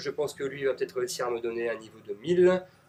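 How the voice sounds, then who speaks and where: With a northern French accent, a man talks at a fairly quick pace. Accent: Ch'ti (northern French). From northern France (Nord-Pas-de-Calais). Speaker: gaming commentator. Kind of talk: live gameplay commentary. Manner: casual, hesitant with frequent fillers.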